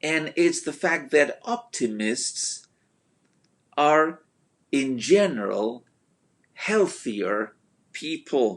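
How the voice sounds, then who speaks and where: Speaking at a very slow pace with long, frequent pauses, a man with a non-native accent uses a fairly high pitch and very wide pitch swings. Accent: noticeable foreign. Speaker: motivational speaker. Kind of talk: motivational talk. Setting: Facebook live video. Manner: hesitant with fillers.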